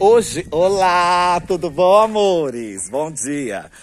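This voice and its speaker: A man talks with lively intonation. Light background noise can be heard. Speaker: vlogger. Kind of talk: casual vlog chat. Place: street. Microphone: phone near.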